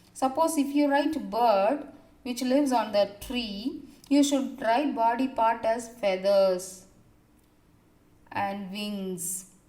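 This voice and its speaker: Speaking at a very slow pace with long, frequent pauses, a woman with a fairly high pitch is heard amid audible room echo. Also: ordinary pitch variation. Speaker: school teacher. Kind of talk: recorded online class lesson.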